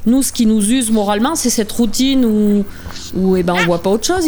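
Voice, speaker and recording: A woman's fairly high voice at a very fast pace, with ordinary pitch variation, audible room echo, and noticeable background noise. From France, Auvergne (Puy-de-Dôme). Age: 50s. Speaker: dairy farmer. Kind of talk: interview testimony. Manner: hesitant, with frequent fillers.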